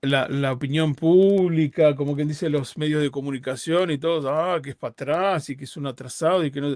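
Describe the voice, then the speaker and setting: Hardly pausing, a man with a fairly high pitch speaks at a fairly quick pace. His intonation stays fairly even. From Uruguay. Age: 50s. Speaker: rabbi. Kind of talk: interview conversation. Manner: halting, with repetitions.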